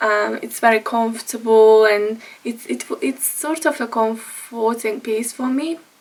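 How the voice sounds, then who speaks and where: Over noticeable background noise, a woman with a Hungarian accent talks at a fairly slow pace with hardly any pauses, her fairly high voice holding a fairly even intonation. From Hungary. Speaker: vlogger. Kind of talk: casual vlog talk. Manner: halting, with fillers.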